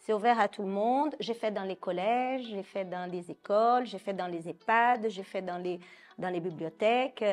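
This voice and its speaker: A woman speaks with a Brazilian accent at a fairly slow pace. Her medium pitch shows ordinary variation. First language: Portuguese (speaking French). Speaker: psychoanalyst. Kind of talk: interview.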